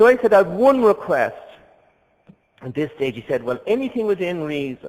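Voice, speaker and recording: In a Dublin accent, the voice moves at a moderate pace with big swings in loudness and very wide pitch swings. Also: man, high pitch for a man. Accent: Dublin Irish. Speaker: priest. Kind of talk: conference talk.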